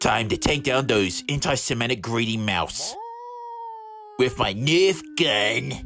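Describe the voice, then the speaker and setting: A man's raspy, put-on character voice of medium pitch at a fairly slow pace, with music in the background. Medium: cartoon.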